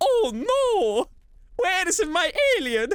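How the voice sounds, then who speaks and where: Someone performs a put-on character voice at an extremely high pitch, swinging very widely in pitch. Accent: Italian. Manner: playful, cartoonish.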